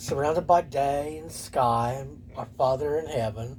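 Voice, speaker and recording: The man's medium-pitched voice carries vocal fry and ordinary pitch variation. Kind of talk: casual vlog monologue. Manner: whispering; halting.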